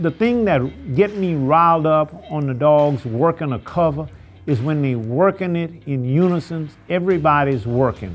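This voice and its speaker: Music plays in the background as a man with an American accent speaks at a moderate pace, his fairly high voice carrying lively intonation. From Louisiana, New Roads near Baton Rouge. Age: 60s. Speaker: rabbit hunter. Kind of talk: documentary interview.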